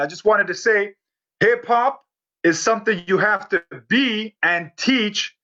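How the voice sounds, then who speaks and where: A man projects his voice loudly at a high pitch, bright and sharp in tone. He talks fairly slowly with ordinary pitch variation. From Canada (Toronto area), Polish-born. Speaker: hip-hop MC and workshop instructor. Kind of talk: online workshop talk. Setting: live stream. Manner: animated.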